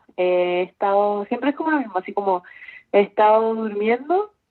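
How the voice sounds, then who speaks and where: A woman talks at a moderate pace. She has an ordinary speaking voice. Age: 20s. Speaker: university student. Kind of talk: casual chat.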